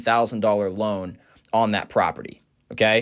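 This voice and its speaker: A man speaks on a very clean recording. The background is completely silent. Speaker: real estate investor. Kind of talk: tutorial. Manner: fast; animated.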